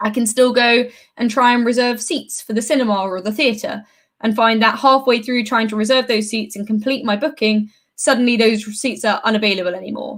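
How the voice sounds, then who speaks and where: A woman's fairly high voice with a British accent, fairly quick in pace and fairly even in intonation. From UK. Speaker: software developer advocate. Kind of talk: conference talk.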